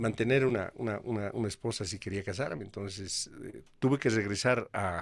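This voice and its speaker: A man with an ordinary speaking voice talks at a moderate pace with hardly any pauses, fairly low in pitch with ordinary pitch variation, in a very clean recording with a silent background. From Bolivia. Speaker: radio announcer. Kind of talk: interview answer.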